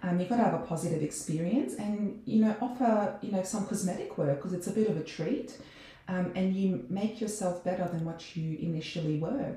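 Amid noticeable background noise and audible room echo, a woman with an Australian accent talks at a fairly quick pace. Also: medium pitch for a woman, ordinary pitch variation. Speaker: dentist. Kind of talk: casual chat.

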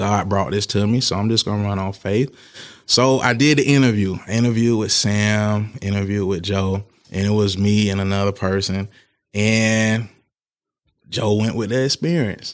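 The speaker has a plain, everyday voice, moving at a moderate pace with fairly even intonation. The recording is very clean, with a silent background. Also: man, fairly low pitch for a man. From Tallahassee, Florida, US South. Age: 30s. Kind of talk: casual interview.

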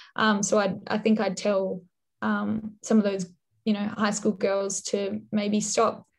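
A woman's somewhat breathy voice at a medium pitch, fairly slow, monotone and flat, with very even loudness. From Western Australia (Perth, Dunsborough). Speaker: journalist. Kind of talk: interview.

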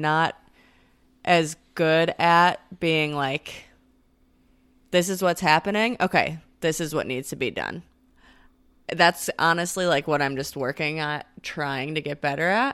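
A woman's fairly low-pitched voice with a bright, sharp tone and ordinary pitch variation, at a very slow pace on a very clean recording with a silent background. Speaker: co-host. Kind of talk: casual chat.

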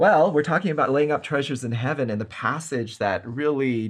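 His voice is somewhat breathy as this man talks at a moderate speed. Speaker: Bible study host. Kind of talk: Bible study discussion.

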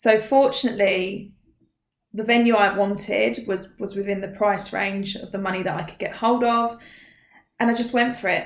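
In an Essex accent, a woman speaks at a moderate pace, her medium pitch held in fairly even intonation. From Essex, England. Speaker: mindset coach. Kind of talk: interview.

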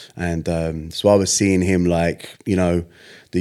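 A man's very deep, low voice with a dark, mellow tone and a southern English accent, monotone and flat, in a very clean recording with a silent background. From southern England. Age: 40s. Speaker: singer. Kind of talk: casual chat.

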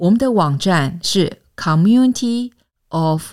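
On a very clean recording with a silent background, a woman speaks at a very slow pace. Her pitch is fairly low and her intonation is lively. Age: 50s. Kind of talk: scripted narration.

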